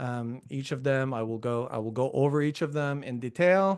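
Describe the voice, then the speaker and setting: A man with a Quebec accent speaks at a moderate pace and medium pitch, with ordinary pitch variation over a quiet background. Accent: Quebecois. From Quebec, Montreal. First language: French. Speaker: professor. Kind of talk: lecture. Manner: many filler words.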